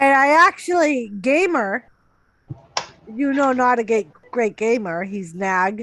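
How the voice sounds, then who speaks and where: A woman with a Boston accent talks at a very slow pace, with long, frequent pauses. Her high voice swings very widely in pitch. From Massachusetts, Lowell area. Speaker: live stream co-host. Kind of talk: casual chat. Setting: live stream.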